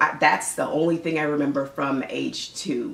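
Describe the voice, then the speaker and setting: Noticeable background noise sits behind a woman who speaks at a moderate pace in a very deep, low pitch with an American accent. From United States. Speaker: mother and Caribbean parenting vlogger. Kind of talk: casual talk to camera. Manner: friendly, conversational.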